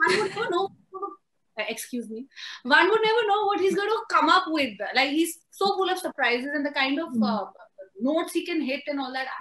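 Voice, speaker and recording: Extremely high-pitched woman's voice, bright and sharp, with very wide pitch swings, a fairly quick pace and long, frequent pauses. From India, Amritsar (Punjab); Punjab, India. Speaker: screenwriter. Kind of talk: interview. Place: home room. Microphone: video call.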